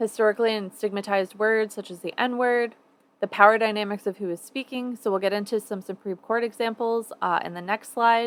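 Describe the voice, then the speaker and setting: At a fairly quick pace and with fairly even intonation, an unremarkable speaking voice comes through a dry, close, echo-free, very clean recording with a silent background. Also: woman, fairly high pitch for a woman. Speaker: university lecturer. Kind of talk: lecture.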